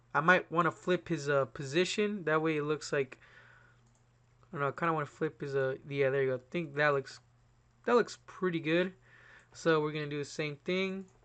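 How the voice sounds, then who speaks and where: A man's fairly high-pitched, bright, sharp voice with ordinary pitch variation and long, frequent pauses. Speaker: YouTuber. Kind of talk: tutorial. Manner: casual, fast.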